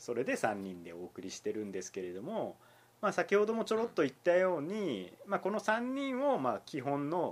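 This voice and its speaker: Very wide pitch swings run through speech kept at a moderate pace. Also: man. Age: 30s. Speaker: newspaper reporter and podcast host. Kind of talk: casual chat.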